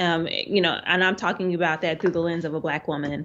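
With an American accent, a woman speaks in a plain, everyday voice, fairly low in pitch and fairly even in intonation. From US South (Arkansas). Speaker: art professor and printmaker. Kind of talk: interview.

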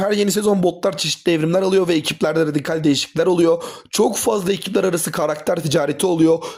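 A man with a high voice speaks very fast, his pitch shifting in an ordinary way. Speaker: YouTuber and teacher. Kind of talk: video review. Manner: casual.

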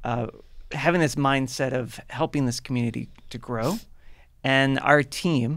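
This man speaks with fairly even intonation in a normal speaking voice. The background is quiet. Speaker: podcast co-host, drinks trade manager. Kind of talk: casual chat. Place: studio. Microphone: studio mic.

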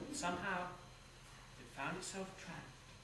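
Room echo is audible, along with noticeable background noise. Through it, a man speaks at a moderate pace. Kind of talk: theatrical storytelling with character voices. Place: stage. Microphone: camera far.

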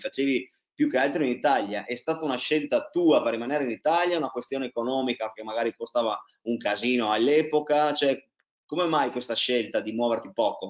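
This man has an ordinary speaking voice with ordinary pitch variation. He talks at a moderate pace against a quiet background. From Italy, Trieste; Italy. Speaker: tennis coach and interviewer; tennis coach, interviewer. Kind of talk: casual interview. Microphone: video call.

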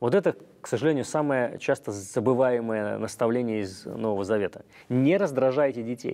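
In a quiet background, a man talks at a moderate pace with a dark, mellow tone and ordinary pitch variation. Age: 40s. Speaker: clergyman; guest. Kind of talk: religious talk show interview. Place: studio. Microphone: lapel.

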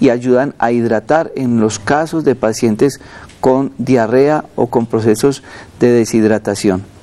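A man speaks at a very slow pace. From Colombia. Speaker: doctor. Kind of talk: medical advice on live TV.

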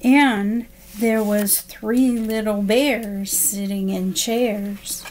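A woman speaks at a very slow pace. Light background noise is present. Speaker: special education assistant reading to children. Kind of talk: bedtime story read aloud to children, gentle sing-song rhythm. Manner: soft, slow and soothing, with lulling rhymed cadence; warm and friendly, addressing young listeners directly. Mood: calm, soothing. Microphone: webcam.

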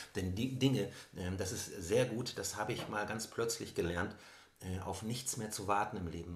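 A man's somewhat breathy voice at a moderate pace, with audible room echo. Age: 50s. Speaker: author and suicide attempt survivor. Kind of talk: personal interview conversation. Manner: hesitant with many fillers.

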